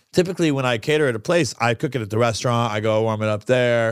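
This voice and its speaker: An energetic tone and lively intonation come through on a very clean recording with a silent background. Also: man, dry, close sound with no echo. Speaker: restaurant owner and podcast host. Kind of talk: casual chat. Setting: studio.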